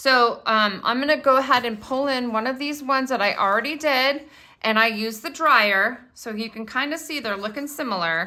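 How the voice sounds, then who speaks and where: Loud and high-pitched, a woman talks in a bright, sharp tone at a moderate pace with ordinary pitch variation and hardly any pauses. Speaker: crafting video host. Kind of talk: tutorial. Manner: animated.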